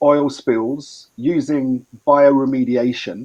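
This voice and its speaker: A man speaks with an English accent and fairly even intonation. His fairly high voice has a dark, mellow tone. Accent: Anglo-Saxon (English). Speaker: environmental expert. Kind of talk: training presentation.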